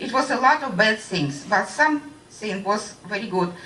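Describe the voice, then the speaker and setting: Amid noticeable background noise and audible room echo, a woman speaks at a moderate pace with a fairly high pitch and lively intonation. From Russia (Voronezh). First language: Russian. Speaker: radiation-affected witness. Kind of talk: testimony. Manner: halting.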